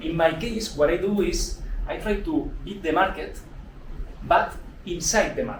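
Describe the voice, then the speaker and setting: Over noticeable background noise and audible room echo, a man with a high pitch for a man uses lively intonation and takes long, frequent pauses. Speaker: fund manager presenting at investing event. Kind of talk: live presentation with audience. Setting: old house event venue with audience. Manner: fast.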